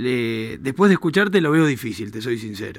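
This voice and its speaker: On a very clean recording with a silent background, a man speaks at a medium pitch and a fairly quick pace. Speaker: radio host. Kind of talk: radio talk show interview. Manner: animated.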